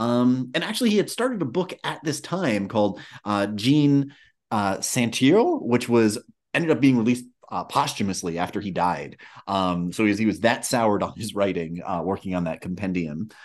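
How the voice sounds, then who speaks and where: With a quiet backdrop, the delivery is lively in its intonation. It is an unremarkable speaking voice at a moderate pace. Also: man, fairly low pitch for a man. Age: 40s. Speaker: podcast host. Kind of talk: casual chat.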